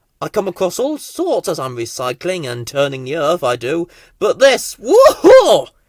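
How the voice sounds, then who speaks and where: A man puts on a character voice, pitched high. He talks at a moderate pace over a silent background, recorded very cleanly. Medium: read story. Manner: folksy, chatty.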